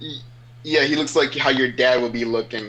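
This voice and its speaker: There's noticeable background noise as a man talks. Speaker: online roleplay wrestling participant. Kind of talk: casual podcast interview. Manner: loud.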